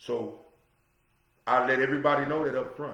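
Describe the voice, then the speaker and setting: Audible room echo surrounds a man's voice. He talks at a fairly quick pace. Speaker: podcast host. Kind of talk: solo talk show monologue. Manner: loud; animated.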